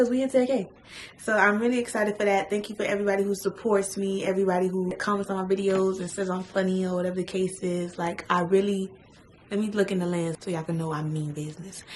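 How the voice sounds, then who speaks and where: With an American accent, a woman talks at medium pitch amid noticeable background noise. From Miami, Florida. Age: 20s. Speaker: beauty vlogger. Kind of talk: casual chat. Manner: fast.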